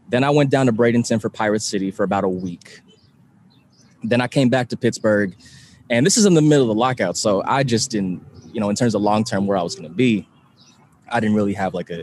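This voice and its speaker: A man with an American accent talks at a medium pitch, his pitch varying in an ordinary way. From California, San Francisco Bay Area. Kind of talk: casual interview. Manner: halting.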